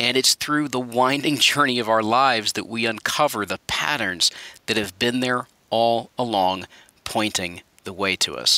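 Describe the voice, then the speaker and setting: A man speaks at a medium pitch and a moderate pace, with ordinary pitch variation and a bright, sharp tone in a dry, close sound with no echo. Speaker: podcast host. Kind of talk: podcast intro.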